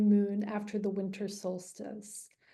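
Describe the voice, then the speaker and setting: A dark, mellow tone comes through with audible echo from the room. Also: woman. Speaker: astrologer. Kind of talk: online presentation to a group. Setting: video call.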